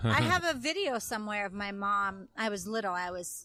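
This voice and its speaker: Music plays in the background as a woman talks at a moderate pace. Her pitch is medium, with ordinary variation. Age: 30s. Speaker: Broadway performer. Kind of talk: casual chat.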